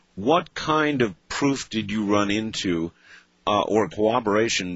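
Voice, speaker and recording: A man with a normal speaking voice at a fairly slow pace. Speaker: radio talk show host. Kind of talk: late-night radio interview.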